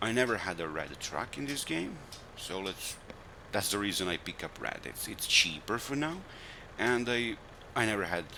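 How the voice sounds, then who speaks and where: A man with a non-native accent and a very deep, low pitch speaks at a moderate pace with lively intonation. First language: not English. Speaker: gaming video creator. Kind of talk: gameplay commentary. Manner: halting, with self-corrections.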